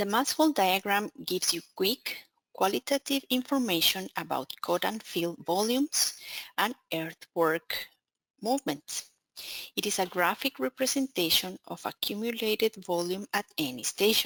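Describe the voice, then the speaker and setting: With a Spanish accent, a woman speaks at medium pitch and a moderate pace, her pitch swinging very widely, in a dry, close recording with no echo. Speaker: software account manager presenting a webinar. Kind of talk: technical webinar presentation. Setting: online webinar.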